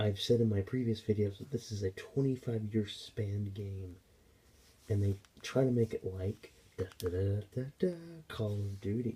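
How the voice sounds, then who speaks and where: Somewhat breathy whispering at a moderate pace. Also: man. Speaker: gaming YouTuber. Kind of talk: game commentary vlog. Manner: hesitant with fillers.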